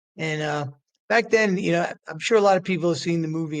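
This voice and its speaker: A man at a fairly quick pace. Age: 60s. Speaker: author and recovery center founder. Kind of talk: podcast interview. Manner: halting, many repetitions.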